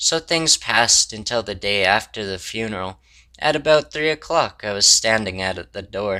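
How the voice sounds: A natural reading voice carries lively intonation.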